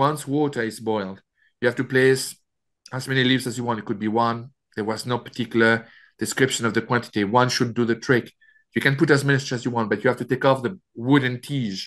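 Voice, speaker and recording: In a French accent, the speaker talks at a fairly quick pace with fairly even intonation against a quiet background. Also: man, medium pitch for a man. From France. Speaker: author. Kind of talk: interview. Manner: halting.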